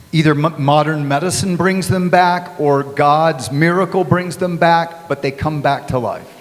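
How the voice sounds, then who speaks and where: Amid noticeable background noise and audible room echo, a man with a fairly high pitch talks at a fairly slow pace with fairly even intonation and hardly any pauses. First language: English (speaking Spanish). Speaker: pastor and author. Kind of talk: conference talk with interpreter. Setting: live audience at a bookstore. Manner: short phrases paused for interpreter.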